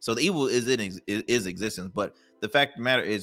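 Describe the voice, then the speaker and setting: A man speaks at a very fast pace, his pitch fairly low with ordinary variation. Music plays in the background, and the sound is dry and close with no echo. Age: 20s. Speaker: entrepreneur. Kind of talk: casual chat.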